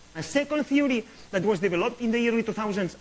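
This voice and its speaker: Over noticeable background noise, a man speaks at a very fast pace. His pitch swings very widely. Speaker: astrophysicist. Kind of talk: lecture.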